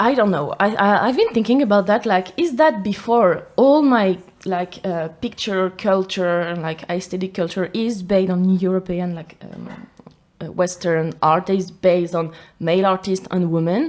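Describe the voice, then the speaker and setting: A woman speaks with a French accent at a moderate pace. Her pitch variation is ordinary. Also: medium pitch for a woman. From France, Paris area (Versailles). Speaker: photographer. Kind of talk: casual interview chat. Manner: halting, searching for words.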